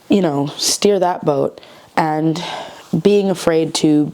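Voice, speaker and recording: Over noticeable background noise, the speaker moves at a very slow pace with lively intonation. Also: woman. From United States, Mexican-American. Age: 20s. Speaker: actress and writer. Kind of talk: casual talk to camera. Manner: chatty, informal.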